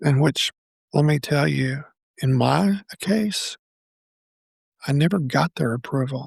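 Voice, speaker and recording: A man talks very slowly in a fairly high, somewhat breathy voice. His intonation is lively. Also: dry, close sound with no echo. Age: 60s. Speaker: podcast host. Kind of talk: personal reflective monologue. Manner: halting.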